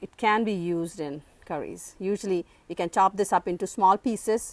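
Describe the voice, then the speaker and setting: With an Indian accent, a woman speaks at a medium pitch and with fairly even intonation in a dry, close sound with no echo. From South India, Andhra Pradesh. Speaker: gardening vlogger. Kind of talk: garden tour tutorial. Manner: halting, many fillers.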